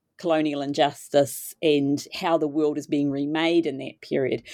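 With a New Zealand accent, a woman speaks at a moderate pace in a very deep, low voice against a quiet background. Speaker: literature professor. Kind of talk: interview.

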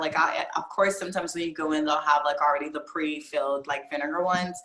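A woman with a very deep, low pitch and an American accent, talking very fast amid noticeable background noise. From Virginia. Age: 20s. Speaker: adult film performer. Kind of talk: casual chat. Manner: animated.

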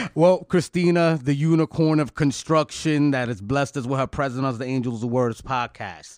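A man with a plain, everyday voice and fairly high pitch talks with hardly any pauses and ordinary pitch variation on a very clean recording with a silent background. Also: moderate pace. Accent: American. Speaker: podcast host. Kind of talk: casual podcast interview. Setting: podcast.

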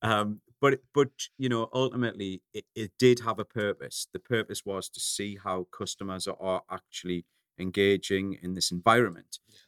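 Speaking at a moderate pace with a northeast English accent, a man with fairly low pitch and ordinary pitch variation shows big swings in loudness, in a dry, close sound with no echo. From northeast England. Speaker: coffee company founder. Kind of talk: interview.

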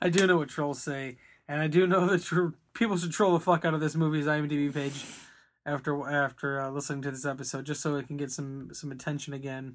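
In a very clean recording with a silent background, a man talks at a fairly quick pace with fairly even intonation. His fairly high pitch belongs to an ordinary speaking voice. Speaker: podcast host. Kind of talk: casual chat.

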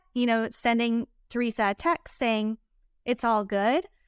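The moderate-paced speech is a very clean recording with a silent background and a dry, close sound with no echo. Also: woman. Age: 30s. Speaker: recap podcast co-host. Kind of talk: casual chat.

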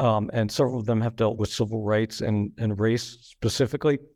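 In a very clean recording with a silent background, a man with a medium-pitched voice speaks in a dark, mellow tone with fairly even intonation. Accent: American. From central New Jersey. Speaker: author and journalism professor. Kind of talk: interview.

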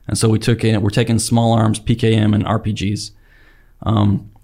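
Speaking with an American accent, this somewhat breathy voice stays flat and monotone, captured on a very clean recording with a silent background. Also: man. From Utah, Salt Lake Valley. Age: 30s. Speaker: active duty special operations weatherman. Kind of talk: casual interview.

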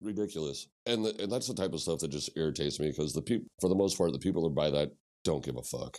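A man's very deep, low voice with an American accent, lively intonation, vocal fry and a very fast pace. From Missouri, US Midwest. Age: 40s. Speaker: punk musician. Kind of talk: casual chat.

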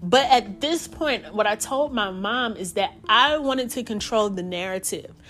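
Hardly pausing, a woman talks at a moderate pace with lively intonation and a fairly high pitch. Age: 40s. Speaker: podcast host. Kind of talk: personal storytelling monologue. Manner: rambling, conversational with filler words.

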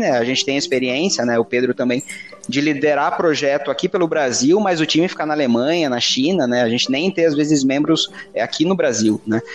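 Through noticeable background noise, a man talks at a fairly quick pace in a fairly high voice with ordinary pitch variation. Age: 20s. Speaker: project manager. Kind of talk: casual chat.

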